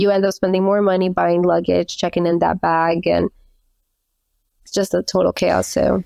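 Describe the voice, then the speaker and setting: A woman with an American accent at a medium pitch and moderate pace, in a dry, close sound with no echo. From Colombian household in the US. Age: 30s. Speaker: travel entrepreneur. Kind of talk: podcast interview.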